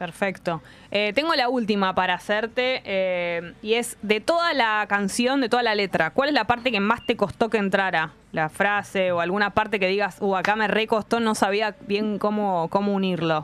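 A woman's normal speaking voice at medium pitch, with ordinary pitch variation, very even loudness, a moderate pace and hardly any pauses. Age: 40s. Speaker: radio host. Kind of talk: casual chat.

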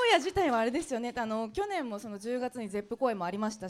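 A woman speaks very fast with a fairly high pitch and lively intonation over noticeable background noise. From Aichi, Anjo. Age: 30s. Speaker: radio DJ. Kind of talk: live public interview. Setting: live venue with audience.

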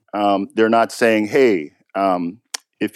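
At a fairly slow pace, a man with a fairly low pitch speaks on a very clean recording with a silent background and a dry, close sound with no echo. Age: 50s. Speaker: tech executive and poker player. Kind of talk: interview. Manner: hesitant, many fillers.

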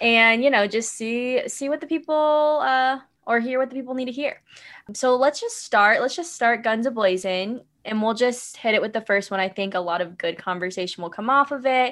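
In an American accent, a woman speaks at a high pitch with ordinary pitch variation. The background is quiet. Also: moderate pace. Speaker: podcast host. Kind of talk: casual chat.

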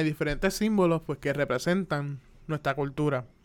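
A man's fairly high voice at a moderate pace, in a very clean recording with a silent background. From Puerto Rico (Carolina). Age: 20s. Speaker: podcaster, animation student. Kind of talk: casual solo monologue. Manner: hesitant, many fillers.

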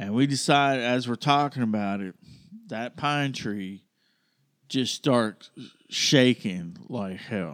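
A man's medium-pitched voice with ordinary pitch variation, a very slow pace and long, frequent pauses, on a very clean recording with a silent background. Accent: Alabama. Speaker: podcast co-host. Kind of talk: storytelling in casual chat.

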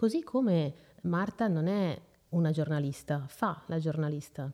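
With a dark, mellow tone, the woman talks using ordinary pitch variation. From northern Italy, Lombardy (Seregno). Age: 30s. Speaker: mother sharing her story, journalist. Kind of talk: personal testimony interview. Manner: hesitant, many fillers.

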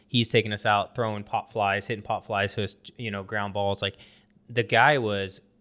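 Against a very clean recording with a silent background, a man's fairly low voice has a bright, sharp tone and monotone, flat intonation. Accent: American. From US. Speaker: podcast host, loan officer. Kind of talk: casual chat.

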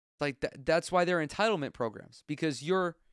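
In a very clean recording with a silent background and a dry, close sound with no echo, a man with an American accent speaks in an animated tone at a high pitch, with ordinary pitch variation. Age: 20s. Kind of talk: solo casual commentary.

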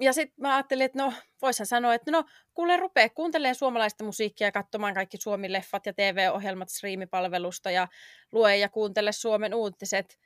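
A woman with an unremarkable speaking voice talks at a fairly quick pace, fairly high and lively, in a very clean, dry, close recording with a silent background and no echo. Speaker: podcast co-host. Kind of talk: casual chat.

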